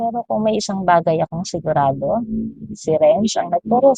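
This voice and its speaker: A woman with vocal fry and lively intonation at a moderate pace. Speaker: parent vlogger. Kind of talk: personal vlog monologue.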